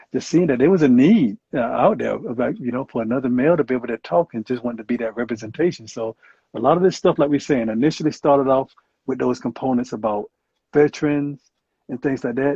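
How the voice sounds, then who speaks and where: A man with a medium pitch talks at a very fast pace, his pitch varying in an ordinary way. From US South. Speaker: clinical psychologist and Marine veteran. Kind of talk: interview. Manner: hesitant, many fillers.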